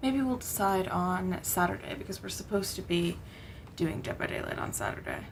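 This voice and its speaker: Mumbling at a fairly quick pace, a woman speaks amid noticeable background noise and audible room echo. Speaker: gaming streamer. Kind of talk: live gameplay commentary. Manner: mumbling a little.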